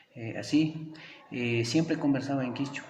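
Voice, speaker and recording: A man with an Ecuadorian accent at a moderate pace, amid audible room echo and noticeable background noise. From Ecuadorian Andes, Kichwa community. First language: Kichwa (speaking Spanish). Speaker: teacher. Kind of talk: interview. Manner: hesitant, many fillers.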